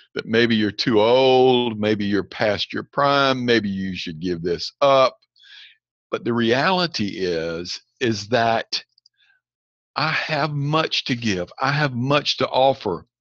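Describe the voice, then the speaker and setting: A man's very slow, medium-pitched speech with lively intonation. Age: 60s. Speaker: leadership coach. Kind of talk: lecture.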